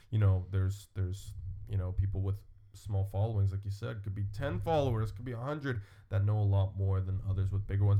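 Very fast, somewhat breathy speech with a dark, mellow tone and fairly even intonation. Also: man. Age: 20s. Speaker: fitness podcast host. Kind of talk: casual chat.

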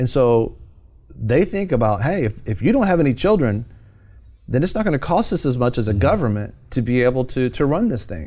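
This man has a medium pitch and a dark, mellow tone. His pitch swings very widely. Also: fairly quick pace. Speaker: TV show host. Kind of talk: talk show hosting with commentary.

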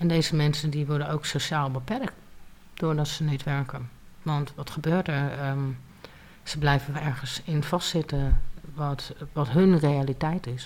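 A woman with a very deep, low pitch, speaking at a fairly slow pace. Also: fairly even intonation. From Leiden, Netherlands. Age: 30s. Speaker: single mother on welfare. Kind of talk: interview testimony.

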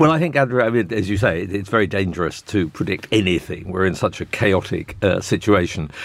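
A man's plain, everyday voice, fairly low in pitch, with lively intonation, a fairly quick pace and hardly any pauses. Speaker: political analyst and author. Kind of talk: panel discussion. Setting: studio.

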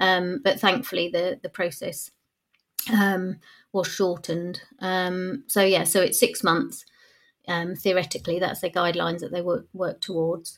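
Recorded very cleanly against a silent background, a woman with an English accent speaks slowly-ish at a medium pitch, her pitch varying in an ordinary way. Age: 40s. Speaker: adoptive parent. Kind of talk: interview. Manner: halting.

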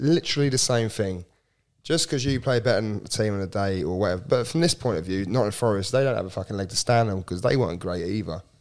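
A man with an English accent talks at a very fast pace and a fairly low pitch, with lively intonation. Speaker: football podcast co-host. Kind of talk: casual chat.

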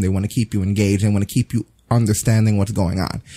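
Somewhat breathy and dark, mellow in tone, a man's voice comes through with a dry, close sound and no echo. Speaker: podcast host. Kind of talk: casual chat. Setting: live stream.

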